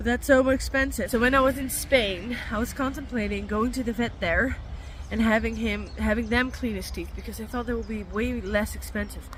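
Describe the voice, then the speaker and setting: A woman speaks at a moderate speed with audible room echo, and noticeable background noise is present. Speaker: vlogger, van lifer and dog owner. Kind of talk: casual vlog talk. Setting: outdoors at the vet, near her van. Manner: casual, chatty with fillers.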